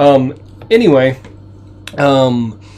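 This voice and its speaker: A man is talking. His pitch is mid-range. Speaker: video game live streamer. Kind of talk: live stream gameplay commentary. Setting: home. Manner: halting, many fillers.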